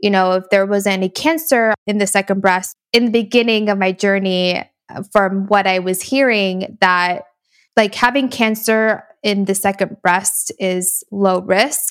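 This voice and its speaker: A woman speaks at a fairly slow pace in an unremarkable speaking voice, her pitch medium. The recording is very clean, with a silent background and a dry, close sound that has no echo. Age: 20s. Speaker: podcast co-host, breast cancer survivor. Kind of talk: casual chat.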